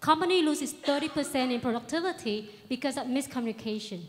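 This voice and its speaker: A woman with a Vietnamese accent talks at a fairly quick pace. Her pitch is high, with ordinary variation. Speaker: startup founder. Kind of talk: pitch presentation.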